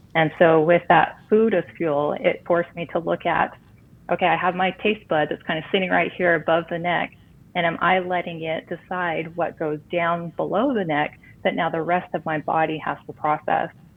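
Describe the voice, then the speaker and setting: A woman with a plain, everyday voice, fairly low in pitch, at a moderate pace with fairly even intonation. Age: 40s. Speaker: recipe blogger. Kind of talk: interview.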